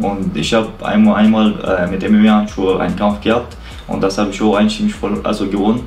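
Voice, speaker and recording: A man with a fairly low pitch talks at a fairly quick pace with fairly even intonation, with audible room echo and light background noise. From Chechnya. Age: 20s. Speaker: boxer. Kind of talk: pre-fight interview. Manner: halting.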